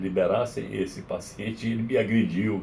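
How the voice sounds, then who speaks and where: A man's somewhat breathy, dark, mellow voice at fairly low pitch, with fairly even intonation, moderate pace and audible room echo. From Brazil, Maranhão. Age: 70s. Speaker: psychiatrist. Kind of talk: interview. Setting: radio studio.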